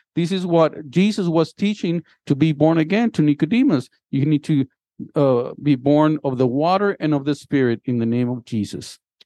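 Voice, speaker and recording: A man's fairly high, dark, mellow voice with lively intonation at a fairly slow pace, in a dry, close sound with no echo and a quiet background. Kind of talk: sermon with scripture reading. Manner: bilingual, switching between English and Spanish, repeating each point in both languages; warm, exhortative, pastoral, audience-engaging, calling for responses.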